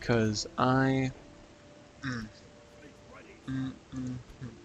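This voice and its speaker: A man speaks at a medium pitch. His intonation is flat and monotone. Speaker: gaming youtuber. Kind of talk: gameplay commentary. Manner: quiet.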